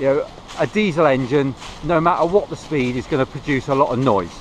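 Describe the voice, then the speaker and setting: At a fairly quick pace and with ordinary pitch variation, a man speaks in a dry sound with no echo over light background noise. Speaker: vlogger. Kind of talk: casual vlog chat. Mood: relaxed, reflective. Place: forest. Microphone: phone near.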